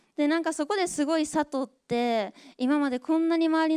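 With a quiet background, a woman talks at a moderate pace using ordinary pitch variation. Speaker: former Paralympic swimmer and moderator; moderator. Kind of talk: moderated talk show. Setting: stage with audience. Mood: warm, reflective. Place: stage. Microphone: handheld.

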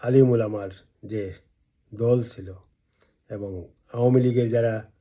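A man's medium-pitched voice carries a dark, mellow tone and a monotone, flat intonation. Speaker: political activist and video blogger. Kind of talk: political speech to camera. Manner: emphatic, rhetorical.

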